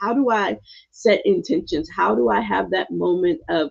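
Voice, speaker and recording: The voice carries a South Carolina Lowcountry accent and a warm, animated tone. Its pace is moderate. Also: woman. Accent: Gullah dialect. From US South, South Carolina (Gullah). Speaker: meditation coach. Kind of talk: livestream meditation intro. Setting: home sanctuary, live stream.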